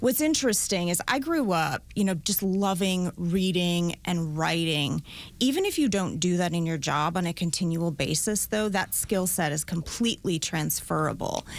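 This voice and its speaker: A woman's fairly low voice in a Minnesota accent, at a moderate pace with hardly any pauses, very even loudness and ordinary pitch variation, on a very clean recording with a silent background. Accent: Minnesota accent, always noticeable. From rural Minnesota. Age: 40s. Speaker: prosecutor. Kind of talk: interview.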